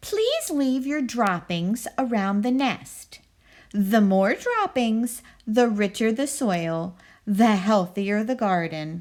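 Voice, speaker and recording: Soft-spoken and very slow, a woman does a put-on character voice with fairly high pitch and lively intonation. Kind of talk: bedtime story. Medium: read story. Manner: calm, soft-spoken.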